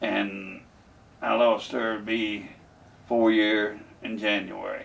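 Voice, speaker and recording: A man with a Kentucky accent speaks amid audible room echo. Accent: southern US, rural Kentucky. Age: 80s+. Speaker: war veteran. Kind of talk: interview testimony. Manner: halting, hesitant.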